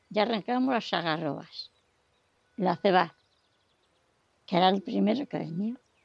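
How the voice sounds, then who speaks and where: Her pitch medium but swinging very widely, a woman speaks at a moderate pace with long, frequent pauses. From Serrada de la Fuente, Sierra Norte of Madrid, Spain. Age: 80s+. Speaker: elderly villager sharing rural memories. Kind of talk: oral history testimony.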